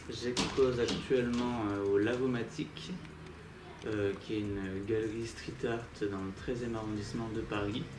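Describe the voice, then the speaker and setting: Speaking at medium pitch, a man keeps a fairly slow pace with fairly even intonation. Audible room echo and noticeable background noise surround him. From southern France, Nîmes. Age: 20s. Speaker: street artist. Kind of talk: interview. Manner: hesitant, many fillers.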